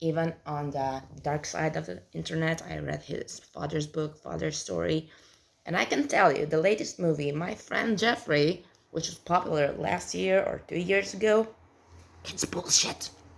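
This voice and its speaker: Speaking fairly slowly, a woman with a fairly low voice talks in a southern European accent. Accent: southern European, non-native English. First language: not English. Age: 30s. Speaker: vlogger. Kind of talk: casual monologue. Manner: halting.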